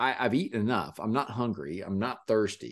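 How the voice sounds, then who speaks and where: Against a quiet background, a normal speaking voice moves at a moderate pace. The intonation is lively. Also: man. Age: 50s. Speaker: podcast host. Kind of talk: casual chat.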